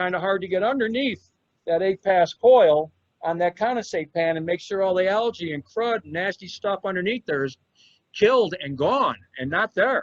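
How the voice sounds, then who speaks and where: A man speaks at a moderate pace in a high pitch. The sound is dry and close with no echo. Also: ordinary pitch variation. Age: 60s. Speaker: HVAC engineering executive and presenter. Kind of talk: educational presentation. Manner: emphatic, repetitive.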